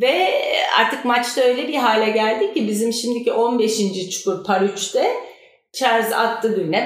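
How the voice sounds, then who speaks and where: A woman speaks at a fairly slow pace with a fairly high pitch and ordinary pitch variation. Room echo is audible. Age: 50s. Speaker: amateur golfer. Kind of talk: casual chat.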